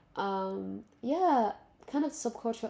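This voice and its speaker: A woman speaks with a dark, mellow tone. The recording is very clean and the background silent. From Benin and Central African Republic, French-speaking. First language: French. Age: 20s. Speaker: vlogger. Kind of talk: casual monologue to camera. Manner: halting, with fillers and restarts.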